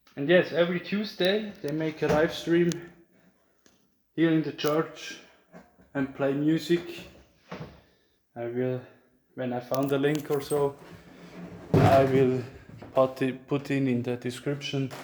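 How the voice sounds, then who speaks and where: A man speaks with a Swiss German accent at a fairly high pitch with ordinary variation. His pace is fairly slow, with long, frequent pauses. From Switzerland. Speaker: church caretaker giving a tour. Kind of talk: casual video tour narration. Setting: inside a church tower. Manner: halting.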